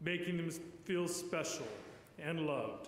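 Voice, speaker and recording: A man speaks in a high pitch. Room echo can be heard. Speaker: priest giving eulogy. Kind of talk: eulogy. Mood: solemn, warm. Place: church. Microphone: podium.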